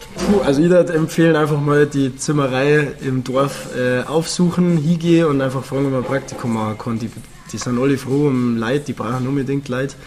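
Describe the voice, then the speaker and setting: The speaker has a Bavarian accent and talks at a fairly quick pace with fairly even intonation. Noticeable background noise runs beneath the voice. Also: man, fairly high pitch for a man. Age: 20s. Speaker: cabaret comedian. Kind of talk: casual chat.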